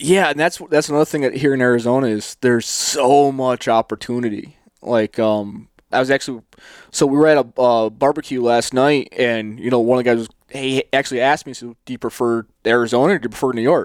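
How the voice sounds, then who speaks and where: A man with an American accent speaks in a normal speaking voice at medium pitch and a fairly quick pace. His intonation is fairly even, and the sound is dry and close with no echo. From US East. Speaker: hunting podcast host. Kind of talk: casual interview chat. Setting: video call.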